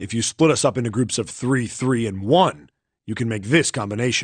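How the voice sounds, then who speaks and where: A growling, put-on character voice at a fairly quick pace, with a quiet background. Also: man, medium pitch for a man. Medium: video game. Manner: gruff, blunt.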